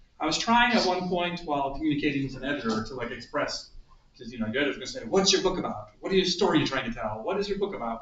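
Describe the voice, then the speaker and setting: Very fast talk from a man with an American accent and lively intonation, with audible room echo. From US Midwest, Toledo, Ohio. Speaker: author and theater lecturer. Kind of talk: talk to a group.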